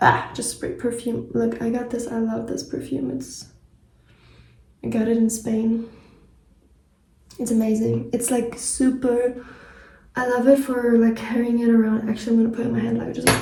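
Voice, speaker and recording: A woman with a German accent talks in a dark, mellow tone and fairly even intonation. Long, frequent pauses break up her speech, and audible room echo surrounds it. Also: moderate pace. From German-speaking country. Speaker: travel vlogger. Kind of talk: casual vlog talk to camera. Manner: casual, many fillers.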